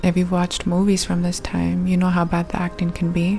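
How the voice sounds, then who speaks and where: Over music in the background, a soft-spoken woman talks in a calm tone at a fairly low pitch. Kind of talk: soft-spoken ASMR movie review. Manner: soft-spoken, calm.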